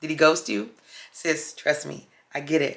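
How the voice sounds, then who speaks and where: A woman speaks in a very deep, low voice. Vocal fry runs through her speech. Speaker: dating and astrology vlogger. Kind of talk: casual talk to camera.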